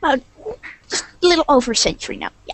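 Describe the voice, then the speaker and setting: A very fast, high-pitched, put-on character voice. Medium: actual play. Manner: dry, terse.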